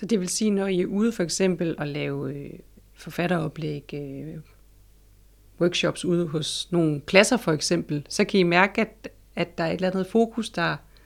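A woman speaks at a fairly slow pace and fairly low pitch with ordinary pitch variation, in a very clean recording with a silent background. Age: 40s. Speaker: library consultant and interviewer. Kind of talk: interview. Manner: hesitant, many fillers.

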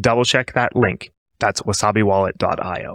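A man talks at a moderate pace in an ordinary speaking voice, with ordinary pitch variation and a dry, close sound with no echo. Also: very clean recording, silent background. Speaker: podcast co-host. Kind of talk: scripted intro and outro reading.

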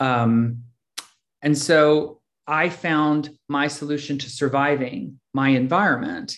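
A man with an ordinary speaking voice, fairly high pitch and fairly even intonation. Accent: American. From US Northeast, Philadelphia. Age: 50s. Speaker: recovery meeting speaker. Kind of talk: personal testimony.

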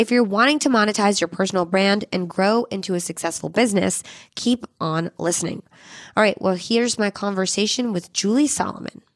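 A woman with an unremarkable speaking voice talks at a fairly quick pace, with medium pitch and ordinary pitch variation. The recording is very clean, with a silent background and a dry, close sound free of echo. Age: 30s. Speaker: podcast host. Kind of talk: scripted narration.

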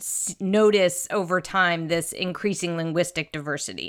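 A woman's voice comes through bright and sharp on a very clean recording where the background is silent. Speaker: podcast host. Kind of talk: interview conversation.

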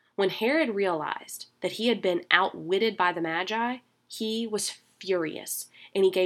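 In a very clean recording with a silent background, a woman with a normal speaking voice talks at a moderate pace and a medium pitch, using ordinary pitch variation. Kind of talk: scripture reading; devotional talk. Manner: formal, measured, solemn reverent cadence; warm, conversational, earnest.

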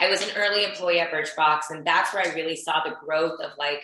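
A woman with an American accent speaks at a moderate pace in a normal speaking voice, her fairly low pitch varying in an ordinary way. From US South, Houston, Texas. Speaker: beauty entrepreneur and influencer. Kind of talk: podcast interview.

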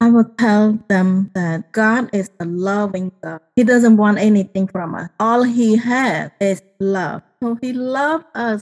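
Speech with a Cambodian accent comes at a fairly slow pace with hardly any pauses. The pitch varies in an ordinary way. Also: woman, fairly high pitch for a woman, dry, close sound with no echo. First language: Khmer. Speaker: genocide survivor and author. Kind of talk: testimony.

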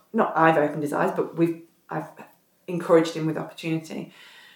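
In an English accent, a woman talks at a very fast pace with a fairly low pitch. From northern England, south Derbyshire. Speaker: retired professional basketball player. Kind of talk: casual chat. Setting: at host's home, sitting on the floor.

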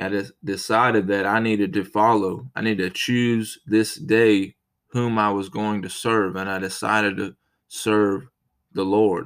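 Over a silent background in a very clean recording, a man with an American accent speaks fairly slowly in a plain, everyday voice, fairly low in pitch and with fairly even intonation. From United States. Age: 30s. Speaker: podcast preacher. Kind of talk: sermon.

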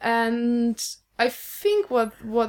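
A woman speaks with a Polish accent. Her pitch is fairly high. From Poland. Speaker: guest. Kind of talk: casual chat.

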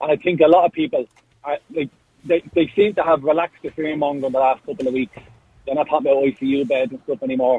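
A man with an Irish accent talks at a very fast pace, with ordinary pitch variation. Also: fairly high pitch for a man. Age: young. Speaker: caller. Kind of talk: radio phone-in. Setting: phone call.

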